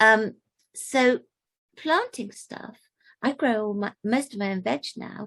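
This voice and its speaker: Her words come out at a very slow pace. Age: 80s+. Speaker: community volunteer. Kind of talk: talk to camera. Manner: halting.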